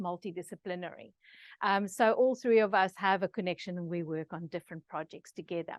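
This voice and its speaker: A woman speaks in an Afrikaans accent at a moderate pace and medium pitch, with ordinary pitch variation. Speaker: researcher presenter. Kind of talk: online masterclass presentation. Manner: many filler words, hesitant.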